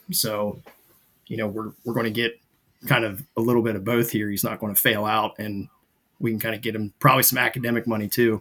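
His intonation is fairly even, and his pitch is medium. The man moves at a fairly quick pace. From US Midwest, Zanesville, Ohio. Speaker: naval flight officer. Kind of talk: casual chat.

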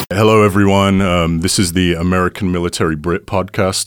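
Noticeable background noise surrounds a man's very deep, low voice. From Britain. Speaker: podcast host, Air Force reservist. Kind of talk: casual interview.

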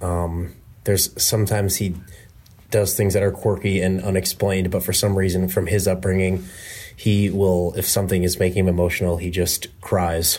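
Somewhat breathy and very deep, a man's low voice stays monotone with flat intonation. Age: 20s. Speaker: sales engineer. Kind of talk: casual chat. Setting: remote call. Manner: halting.

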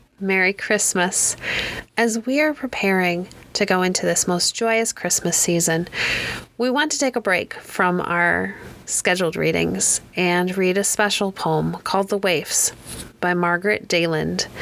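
A woman has an unremarkable speaking voice with a medium pitch and ordinary pitch variation. She talks at a fairly slow pace with very even loudness. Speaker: podcast host reading poems. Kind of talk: poem reading, gentle scripted narration. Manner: warm, lilting, sing-song cadence; soothing, measured.

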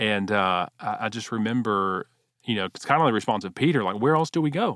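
In an American accent, a man talks at a moderate pace with lively intonation. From Texas, Houston. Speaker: pastor. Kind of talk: interview testimony. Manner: halting, frequent repetitions.

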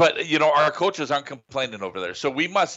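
The voice has vocal fry. Its intonation is lively. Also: man. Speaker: radio color analyst. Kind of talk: live radio sports commentary, color analysis. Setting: high school football stadium broadcast on radio. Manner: conversational, explanatory, a bit rambling.

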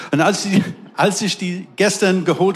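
Noticeable background noise accompanies a man whose intonation stays fairly even. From England. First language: English (speaking German). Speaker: pastor. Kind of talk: sermon. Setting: church service with live audience.

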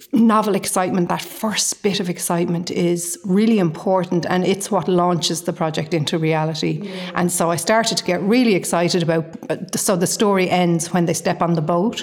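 A woman speaks with a Dublin accent at a moderate pace and fairly low pitch. Her intonation stays fairly even, her loudness very even, with noticeable background noise behind her. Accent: Irish (Dublin). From Ireland, Dublin. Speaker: novelist. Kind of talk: casual interview.

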